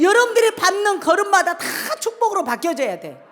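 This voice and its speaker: An animated tone at a fairly quick pace comes through over noticeable background noise. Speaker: pastor. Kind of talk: sermon. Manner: fast.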